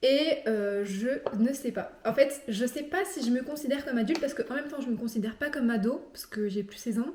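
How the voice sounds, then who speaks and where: A woman with a high pitch speaks fairly quickly, her pitch varying in an ordinary way. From France. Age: 20s. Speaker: vlogger, law student. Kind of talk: casual chat. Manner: casual, many fillers.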